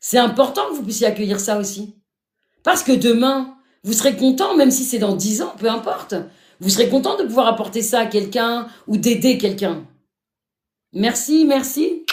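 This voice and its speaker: Speaking at a moderate pace, a woman with a fairly high voice uses lively intonation and leaves long, frequent pauses. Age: 50s. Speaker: live streamer sharing life story. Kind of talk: live stream talk to viewers. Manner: animated.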